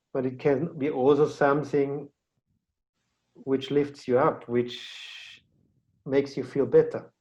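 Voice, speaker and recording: A man with a German accent speaks very slowly in a fairly high, dark and mellow voice, his intonation flat and monotone, with long pauses coming often. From Austria. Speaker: podcast host. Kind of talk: casual interview chat.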